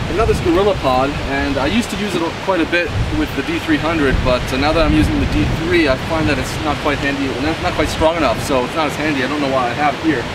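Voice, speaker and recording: A man at a very fast pace, ordinary pitch variation, dry sound with no echo, and loud background noise. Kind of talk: casual gear walkthrough. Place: beach.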